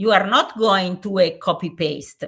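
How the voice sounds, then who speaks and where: Over a quiet background, a woman with an Italian accent talks at a very slow pace and a medium pitch. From Italy. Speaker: safeguarding commission president, gymnastics expert. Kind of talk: webinar lecture. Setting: online webinar. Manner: halting, frequent fillers.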